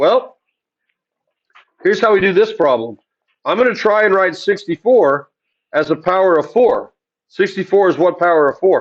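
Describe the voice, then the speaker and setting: A man's high-pitched voice with ordinary pitch variation, very even loudness and long, frequent pauses. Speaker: math teacher. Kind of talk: lecture. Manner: loud, commanding teaching voice; fast.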